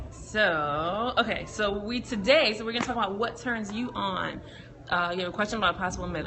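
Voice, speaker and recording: Lively in her intonation, a woman speaks at medium pitch with audible room echo and noticeable background noise. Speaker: sexologist. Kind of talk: casual chat. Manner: fast.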